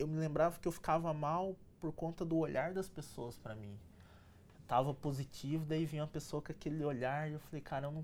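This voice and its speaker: A man in a normal speaking voice, fairly high in pitch, at a fairly quick pace. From Brazil, São José dos Campos (São Paulo state). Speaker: electronic engineer and entrepreneur. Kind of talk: interview, life story.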